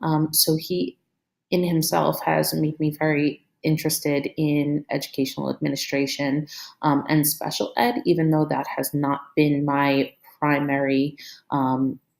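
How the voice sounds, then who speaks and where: This woman's voice has a very deep, low pitch and fairly even intonation. She speaks at a fairly slow pace with very even loudness. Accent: Brooklyn. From Brooklyn, New York. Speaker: teacher and school administrator. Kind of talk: recorded course presentation. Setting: screen recording. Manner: hesitant, many fillers.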